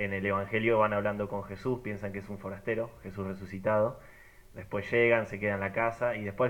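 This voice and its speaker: In a fairly low voice, a man speaks at a fairly quick pace with monotone, flat intonation. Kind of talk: casual group chat.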